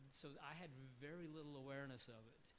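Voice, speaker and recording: A man with a Southwestern US accent amid audible room echo. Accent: US Southwest English. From New Mexico. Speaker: lawyer. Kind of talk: panel discussion.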